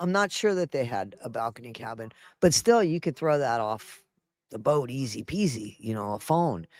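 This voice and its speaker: Very wide pitch swings at a moderate pace, in a dry, close sound with no echo, on a very clean recording with a silent background. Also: man. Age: 60s. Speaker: news and entertainment livestream host. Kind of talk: casual commentary over a played news clip.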